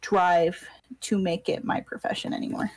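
The sound is dry and close, without any echo. The speaker is a woman. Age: 20s. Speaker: thumbnail artist. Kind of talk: casual chat. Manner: shaky voice.

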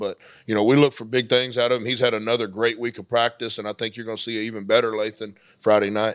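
Over a very clean recording with a silent background, a man with an American accent speaks very fast at medium pitch, his intonation monotone and flat. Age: 30s. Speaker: high school football coach. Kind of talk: interview. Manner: halting.

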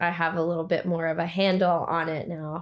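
A woman's fairly low-pitched voice at a moderate pace, in a very clean recording with a silent background. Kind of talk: casual chat. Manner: soft-spoken.

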